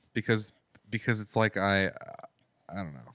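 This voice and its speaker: Quiet and mumbling, a man with a fairly low pitch talks at a moderate pace with ordinary pitch variation in a dry, close sound with no echo. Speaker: musician and podcast co-host. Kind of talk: casual chat. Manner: mumbly, quiet.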